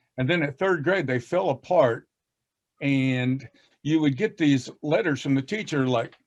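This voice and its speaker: A man speaks with an American accent. His pitch sits fairly high, with ordinary variation. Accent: Southern US, moderate, masked by fast speech. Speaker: reading educator. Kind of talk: casual panel discussion. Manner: drops g in -ing endings.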